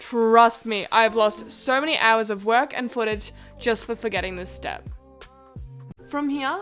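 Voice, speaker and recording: A woman with an Australian accent speaks at a fairly slow pace, with a fairly high pitch and ordinary pitch variation. Music plays in the background. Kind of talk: software tutorial voice-over.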